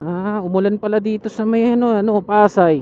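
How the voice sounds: This man talks at a moderate pace with a dark, mellow tone.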